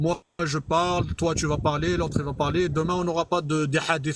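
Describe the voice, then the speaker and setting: With an Arabic accent, a man speaks at a moderate pace in a somewhat breathy, fairly high voice. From Algeria. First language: Arabic (speaking French). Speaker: live streamer, religious debater. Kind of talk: heated debate. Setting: online live stream. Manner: halting.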